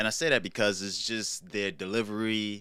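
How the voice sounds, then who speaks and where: A man with a New York accent speaks in a bright, sharp tone on a very clean recording with a silent background. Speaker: YouTube commentary host. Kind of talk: casual commentary monologue.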